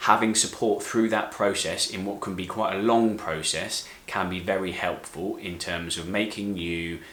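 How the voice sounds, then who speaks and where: A man with a fairly low pitch and fairly even intonation speaks at a moderate pace with hardly any pauses. Noticeable background noise and audible room echo are present. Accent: British. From UK. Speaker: physiotherapist. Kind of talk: tutorial. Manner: clear, explanatory.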